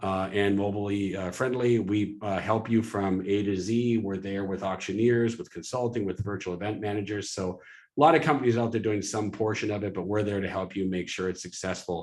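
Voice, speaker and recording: Talking at a fairly quick pace, a man keeps his fairly low pitch in fairly even intonation. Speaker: webinar host for a fundraising software company. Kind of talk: live webinar presentation with sales pitch. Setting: live webinar. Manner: fast.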